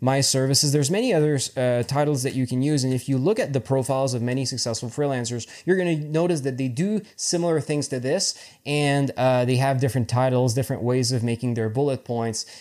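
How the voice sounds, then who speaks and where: Dark, mellow male voice at medium pitch, fairly quick with hardly any pauses and ordinary pitch variation, on a very clean recording with a silent background. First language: French. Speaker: freelance web developer and tutorial creator. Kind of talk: tutorial. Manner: halting, with many fillers and repetitions.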